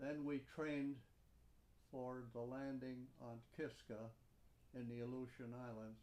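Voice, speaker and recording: A man at medium pitch with an Upper Midwest accent, at a fairly slow pace. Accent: Upper Midwest American. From Upper Peninsula of Michigan. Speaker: war veteran. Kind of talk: oral history interview.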